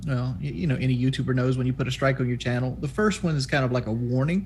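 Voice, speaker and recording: Using fairly even intonation, a man with a Southern US accent speaks at a medium pitch. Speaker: YouTuber and streamer. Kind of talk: podcast interview.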